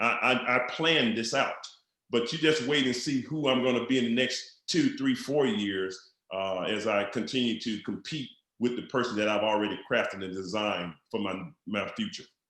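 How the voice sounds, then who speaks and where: A bright, sharp tone in a Southern US accent. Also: man, medium pitch for a man, ordinary pitch variation, moderate pace. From Mississippi, US South. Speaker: network marketing entrepreneur. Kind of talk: podcast interview. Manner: animated.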